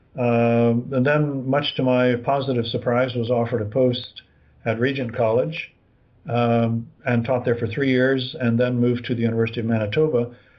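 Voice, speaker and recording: With an American accent, a man speaks at a moderate pace and medium pitch, his intonation monotone and flat and his loudness very even. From USA. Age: 70s. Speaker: retired professor of New Testament. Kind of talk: interview. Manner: hesitant, many fillers.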